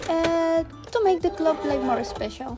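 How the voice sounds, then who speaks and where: A woman with a non-native accent and lively intonation, with music in the background. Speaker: artist running a sticker shop. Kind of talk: vlog narration. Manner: hesitant.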